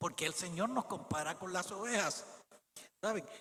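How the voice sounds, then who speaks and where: A raised, projected voice from a man, high in pitch, at a fairly slow pace with ordinary pitch variation. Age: 70s. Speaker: preacher. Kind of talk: sermon.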